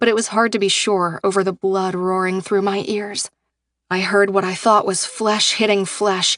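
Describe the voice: Plain reading aloud comes over a quiet background.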